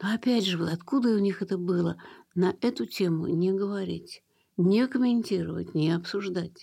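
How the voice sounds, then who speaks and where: The tone is dark and mellow, with ordinary pitch variation and very even loudness on a very clean recording with a silent background. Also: woman, medium pitch for a woman, moderate pace. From Russia, Leningrad. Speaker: museum founder. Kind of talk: radio interview.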